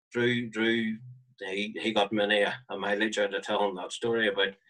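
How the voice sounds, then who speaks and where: A man with a Northern Irish accent speaks at a fairly low pitch. His intonation is flat and monotone. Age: 40s. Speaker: marching band flute player. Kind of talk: interview.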